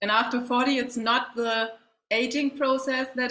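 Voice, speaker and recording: At a fairly slow pace, a woman speaks with a fairly high pitch. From Germany. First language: German. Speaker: facial wellness coach, former athlete. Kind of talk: interview. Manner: halting.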